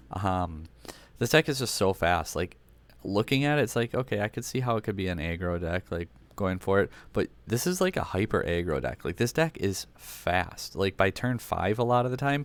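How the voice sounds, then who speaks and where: The recording is very clean, with a silent background. A man speaks in a fairly low voice with lively intonation. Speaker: gaming YouTuber, card game deck reviewer. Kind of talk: casual commentary on decks. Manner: fast; stumbles over words.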